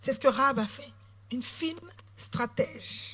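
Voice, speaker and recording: This woman speaks at a high pitch. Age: 40s. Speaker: politician. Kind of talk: sermon.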